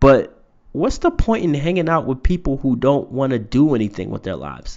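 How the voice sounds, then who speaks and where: A man speaks at a fairly slow pace with vocal fry. His pitch swings very widely. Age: 30s. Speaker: podcast host and poet. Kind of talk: motivational monologue. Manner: casual, with many fillers.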